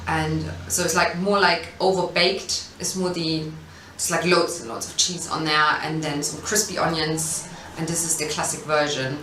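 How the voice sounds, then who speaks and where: A woman with a German accent speaks at a fairly low pitch and a moderate pace, her intonation fairly even. Noticeable background noise and audible room echo fill the recording. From East Germany. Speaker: food business founder. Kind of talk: interview. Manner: hesitant, many fillers.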